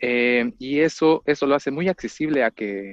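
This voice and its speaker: A man with a Mexican accent, recorded with a dry, close sound with no echo against a quiet background. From Mexico, rural town near Mexico City. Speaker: orchestral clarinetist. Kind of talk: interview. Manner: halting, many repetitions and fillers.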